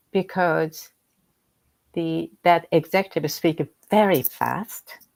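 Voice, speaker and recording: Dry and close with no echo, a woman's fairly low voice with vocal fry moves at a very slow pace, its intonation fairly even. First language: Japanese. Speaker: executive coach. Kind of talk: interview conversation. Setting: livestream video call.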